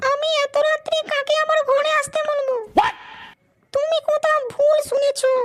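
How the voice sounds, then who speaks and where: A woman uses a cartoonish character voice with an extremely high pitch. She delivers it at a fairly slow pace in a monotone, flat intonation. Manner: coy, flirtatious.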